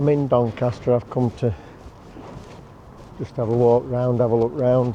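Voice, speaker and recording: Using an unremarkable speaking voice, a man talks with fairly even intonation at a medium pitch. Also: moderate pace. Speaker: travel vlogger. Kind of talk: casual vlog narration. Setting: outdoors, driving in traffic.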